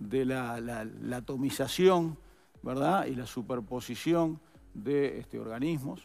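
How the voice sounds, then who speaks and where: A man's dark, mellow tone at a fairly slow pace. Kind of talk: interview answer. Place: studio. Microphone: headset.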